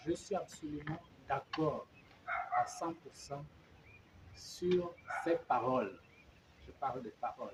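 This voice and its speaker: Very slow speech with long, frequent pauses and big swings in loudness. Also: man. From Gabon. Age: 70s. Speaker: opposition politician. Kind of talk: interview. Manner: halting.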